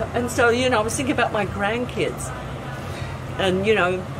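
Loud noise dominates the background. Through it, a woman talks. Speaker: bar owner. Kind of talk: interview answer. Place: beach. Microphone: camera far.

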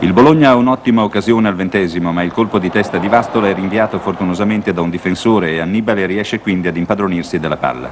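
Speech comes at a very fast pace with hardly any pauses. There is ordinary pitch variation and noticeable background noise. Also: man, fairly low pitch for a man. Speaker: newsreel sports commentator. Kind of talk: 1970 sports newsreel commentary, scripted narration. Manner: formal, brisk, authoritative newsreel narrator.

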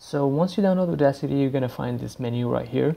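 Speaking with a non-native accent, a man has a fairly high pitch and a dark, mellow tone. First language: not English. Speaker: YouTuber / DJ tutorial maker. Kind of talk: tutorial. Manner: casual, halting with frequent fillers.

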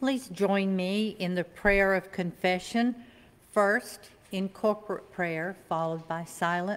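A fairly slow female speaker, medium in pitch, with ordinary rises and falls. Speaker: worship leader. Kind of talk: reading aloud. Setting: church. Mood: calm, solemn. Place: church. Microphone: podium.

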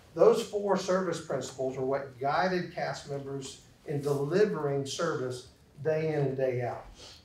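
A man with a fairly high pitch and a slight Southern US accent, audible room echo and light background noise. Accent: slight Southern drawl. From US South. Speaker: corporate trainer and speaker. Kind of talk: interactive lecture. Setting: classroom with audience. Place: classroom.

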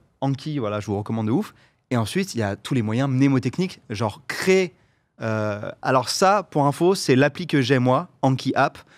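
A man's lively intonation at a moderate pace against a quiet background. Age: 30s. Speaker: content creator; guest. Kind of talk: casual chat. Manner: hesitant, many fillers. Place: studio. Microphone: studio mic.

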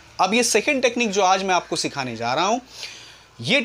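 Light background noise sits behind a man's speech. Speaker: martial arts coach. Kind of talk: tutorial. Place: home room. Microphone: lapel.

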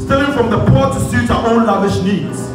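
Over clear music in the background, a man talks at a moderate pace with audible room echo. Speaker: spoken word poet / church minister. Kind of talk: spoken word poetry ministration, church performance. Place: hall.

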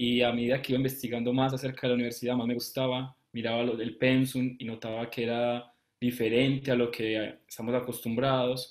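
The voice moves at a moderate pace with monotone, flat intonation. The background is quiet. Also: man. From Colombia. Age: 20s. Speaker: medical student. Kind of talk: live interview. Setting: live stream. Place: home room. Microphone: webcam.

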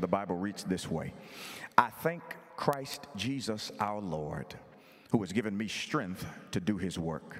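A man's fairly low-pitched voice with music in the background. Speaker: visiting preacher. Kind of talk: sermon. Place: church. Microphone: handheld.

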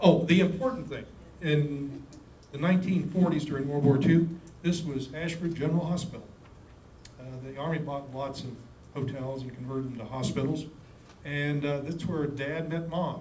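A man speaks with fairly even intonation and long, frequent pauses, with light background noise and audible room echo. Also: moderate pace. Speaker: presenter. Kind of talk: lecture. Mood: light, anecdotal. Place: meeting room.

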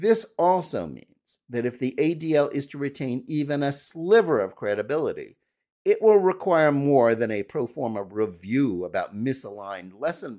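Against a quiet background, a man talks with very wide swings in pitch. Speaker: commentator. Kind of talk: commentary. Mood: firm, critical. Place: home room. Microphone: studio mic.

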